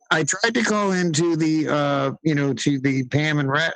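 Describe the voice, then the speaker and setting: A man talks at fairly high pitch with ordinary pitch variation. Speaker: caller. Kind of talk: casual chat. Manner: fast.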